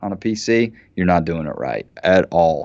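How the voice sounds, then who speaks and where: A man speaks slowly-ish, at a fairly slow pace, with an American accent and a normal speaking voice. His pitch is fairly low with ordinary pitch variation, over a quiet background. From southern West Virginia. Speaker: professor. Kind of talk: casual chat.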